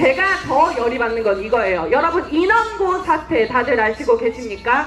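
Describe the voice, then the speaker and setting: Against noticeable background noise, a woman talks at a moderate pace in a high pitch with very wide pitch swings. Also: very even loudness. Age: 20s. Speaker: political activist. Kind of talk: political rally speech. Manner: impassioned, shouting slogans.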